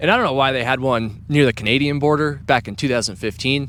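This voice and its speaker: A man of medium pitch talks with an American accent. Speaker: outdoor vlogger. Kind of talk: casual storytelling vlog. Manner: animated.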